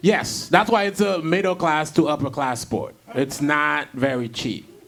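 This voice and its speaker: Music plays in the background. A man speaks with a fairly high pitch and lively intonation. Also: fairly slow pace. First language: not English (English is third language). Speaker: comedian and podcast host. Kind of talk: casual chat.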